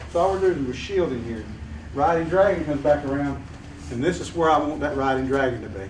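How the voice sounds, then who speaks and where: With a Southern US accent, a man speaks at a fairly quick pace in a fairly high pitch, amid audible room echo and noticeable background noise. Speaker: martial arts instructor. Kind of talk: hands-on class instruction.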